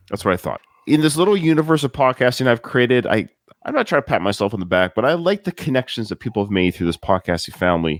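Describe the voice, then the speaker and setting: A man at medium pitch with very wide pitch swings, a very fast pace, and dry, close sound with no echo. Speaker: podcast host. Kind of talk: casual chat. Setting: live-streamed podcast recording.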